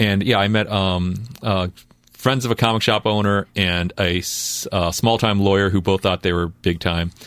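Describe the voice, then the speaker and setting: An unremarkable speaking voice, a man's at a fairly low pitch, moves at a moderate pace with fairly even intonation and very even loudness in a very clean recording with a silent background. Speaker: comic book artist. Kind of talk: casual chat. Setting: studio.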